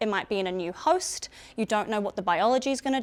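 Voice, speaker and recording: In a very clean recording with a silent background, a woman with a New Zealand accent talks at a fairly high pitch. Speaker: biosecurity and emergency management consultant. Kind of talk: presentation to public audience. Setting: public information session in a room with audience.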